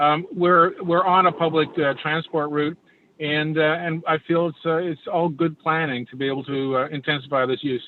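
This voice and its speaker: His pitch sits fairly high. This man holds his intonation fairly even throughout. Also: moderate pace. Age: 60s. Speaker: planning applicant. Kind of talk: public meeting testimony. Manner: halting.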